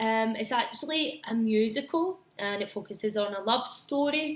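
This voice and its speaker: With a Glaswegian accent, a woman with a fairly high pitch speaks at a moderate pace with lively intonation. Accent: Glaswegian Scottish. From Scotland, Glasgow area. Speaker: English teacher. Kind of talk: casual talk to students about films. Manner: hesitant, frequent 'um' fillers.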